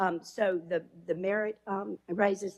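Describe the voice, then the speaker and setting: A woman is speaking with an Alabama accent. Her intonation stays fairly even. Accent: Southern US (Alabama). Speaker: elected county official. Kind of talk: public meeting comment. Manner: loud.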